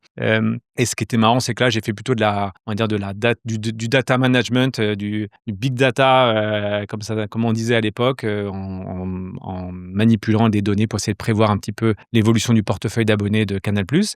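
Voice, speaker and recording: A man's fairly low, monotone, flat voice at a moderate pace with hardly any pauses, in a very clean recording with a silent background and a dry, close sound with no echo. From southeastern France (Côte d'Azur, near Nice). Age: 40s. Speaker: entrepreneur. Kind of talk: interview. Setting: studio. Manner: hesitant, many fillers.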